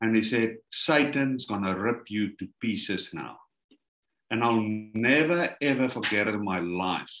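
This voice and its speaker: The man speaks at a fairly slow pace with ordinary pitch variation. Audible room echo is present over a quiet background. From South Africa. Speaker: minister, ministry leader; minister. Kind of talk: testimony. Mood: animated, dramatic storytelling. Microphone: video call.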